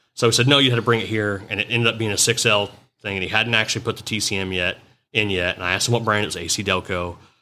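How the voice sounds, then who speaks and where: A man talks loudly at a very fast pace. His voice sits at a fairly low pitch with a bright, sharp tone. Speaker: mobile automotive diagnostic business owner. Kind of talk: casual chat. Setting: in person at a trade conference. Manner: animated.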